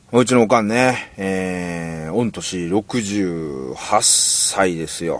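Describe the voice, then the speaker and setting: A man speaks very slowly in a fairly low voice with ordinary pitch variation, and noticeable background noise runs underneath. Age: 40s. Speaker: singer-songwriter. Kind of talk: casual monologue. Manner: halting.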